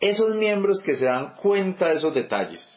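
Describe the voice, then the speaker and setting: A man talks at a moderate pace. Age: 40s. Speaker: church teacher. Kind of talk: bible study teaching. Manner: halting, many repetitions and fillers.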